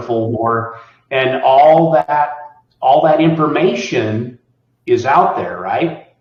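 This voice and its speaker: At a very slow pace, a man speaks with long, frequent pauses. His fairly high voice is somewhat breathy, with ordinary pitch variation. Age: 60s. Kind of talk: interview answer.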